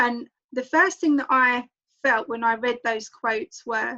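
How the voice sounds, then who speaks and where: This woman speaks at a moderate pace with a strong London accent, her high pitch carrying a bright, sharp tone and fairly even intonation over a quiet background. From London, England. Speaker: book club host. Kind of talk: online group discussion.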